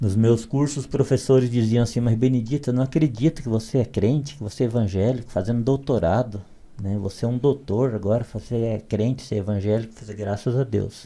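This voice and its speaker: A man of medium pitch speaks in a dark, mellow tone with ordinary pitch variation. He keeps a fairly quick pace with hardly any pauses. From Brazilian Northeast, southern Ceará backcountry. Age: 60s. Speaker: literature PhD, evangelical. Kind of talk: podcast interview, life story.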